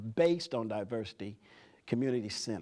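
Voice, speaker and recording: A man with an East Tennessee accent and a dark, mellow tone at a fairly quick pace, on a very clean recording with a silent background. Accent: East Tennessee Southern US. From US South. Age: 70s. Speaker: community leader. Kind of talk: talk to students.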